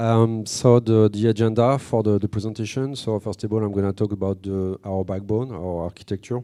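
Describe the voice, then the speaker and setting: Fairly quickly and with fairly even intonation, a man with a French accent speaks in a dark, mellow tone at a fairly low pitch. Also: hardly any pauses. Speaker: company representative presenting at tech conference. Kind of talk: conference talk. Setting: stage with audience. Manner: hesitant, many fillers.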